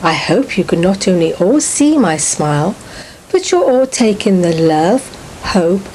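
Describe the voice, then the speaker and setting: Lively intonation from a woman with an English accent, medium in pitch and fairly slow in pace, over noticeable background noise. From England. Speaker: author. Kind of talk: video message.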